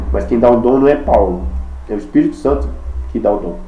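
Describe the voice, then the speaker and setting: Audible room echo and noticeable background noise surround the voice. The man talks at a fairly quick pace. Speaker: preacher. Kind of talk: sermon. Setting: video recording. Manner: fast.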